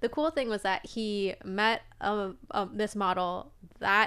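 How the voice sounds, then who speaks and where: A woman talks in a normal speaking voice at medium pitch with ordinary pitch variation. The recording is very clean with a silent background. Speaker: OnlyFans creator and attorney. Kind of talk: casual chat.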